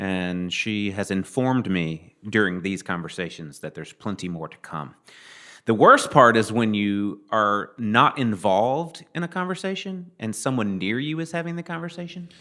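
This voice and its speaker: Fairly low male voice with a Southern US accent and a bright, sharp tone, very wide pitch swings and big swings in loudness, on a very clean recording with a silent background. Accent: southern drawl. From Mississippi, US South. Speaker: podcast guest, musician. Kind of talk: casual interview chat.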